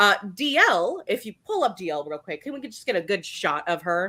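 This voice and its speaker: A woman projects a raised voice with a bright, sharp, animated tone and very wide pitch swings at a fairly slow pace, on a very clean recording with a silent background. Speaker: podcast co-host. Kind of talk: casual chat.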